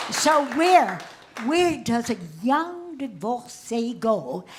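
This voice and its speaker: Over noticeable background noise, a woman speaks very slowly at a high pitch with very wide pitch swings. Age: 80s+. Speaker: comedian and cabaret artist. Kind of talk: stand-up comedy on stage. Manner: saucy, witty.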